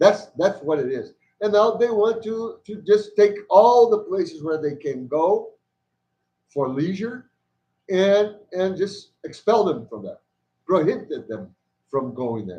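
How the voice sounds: A man speaks slowly in a dark, mellow tone, his high pitch making big swings up and down.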